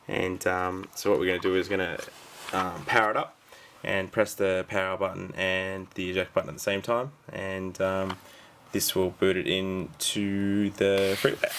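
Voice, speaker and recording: Over noticeable background noise, a man with a very deep, low pitch talks at a moderate pace in monotone, flat intonation. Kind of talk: casual tutorial talk to camera. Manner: hesitant, many filler words.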